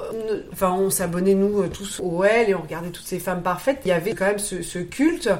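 With hardly any pauses, a woman talks at medium pitch with ordinary pitch variation and big swings in loudness, amid audible room echo and noticeable background noise. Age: 40s. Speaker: interviewee sharing cosmetic surgery experience. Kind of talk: interview testimony. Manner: halting, frequent repetitions and hesitations; spontaneous.

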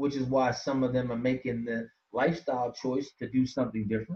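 A man's somewhat breathy voice, medium in pitch and fairly quick in pace. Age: 50s. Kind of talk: casual interview chat.

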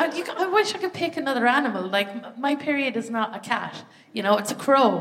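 The speaker talks at a fairly quick pace in an Irish accent, with very wide pitch swings. Noticeable background noise runs underneath. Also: woman, high pitch for a woman. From Ireland. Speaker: stand-up comedian. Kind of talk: stand-up. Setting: theatre stage with live audience.

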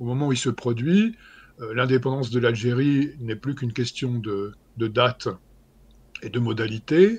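This man has a medium pitch and a somewhat breathy voice. He speaks at a moderate pace with fairly even intonation. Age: 60s. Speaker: historian. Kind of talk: interview.

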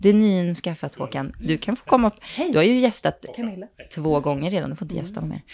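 Rushing at a very fast pace, a woman with a fairly low pitch and dark, mellow tone uses lively intonation and big swings in loudness. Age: 20s. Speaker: podcast host. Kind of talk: casual chat.

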